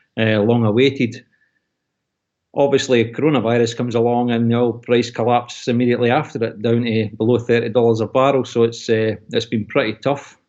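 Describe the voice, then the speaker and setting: A man speaks with a Scottish accent at a moderate pace. His pitch sits in the medium range. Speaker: oil and gas industry worker, expat. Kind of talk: video call interview. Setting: video call.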